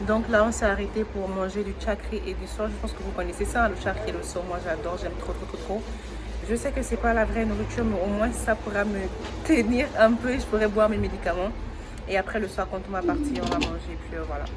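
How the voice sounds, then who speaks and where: Fairly quick speech comes from a woman. Audible room echo and noticeable background noise surround her. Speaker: vlogger. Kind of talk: vlog. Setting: outdoors by the sea. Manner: fast.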